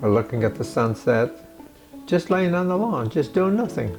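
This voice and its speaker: Music plays in the background as a man speaks. His pitch swings very widely. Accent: American. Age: 80s+. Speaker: retired engineer and author. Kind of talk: interview answer.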